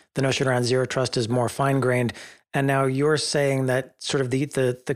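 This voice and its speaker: An unremarkable speaking voice from a man, medium in pitch and fairly even in intonation, at a fairly quick pace on a very clean recording with a silent background. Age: 50s. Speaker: podcast host. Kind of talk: casual chat.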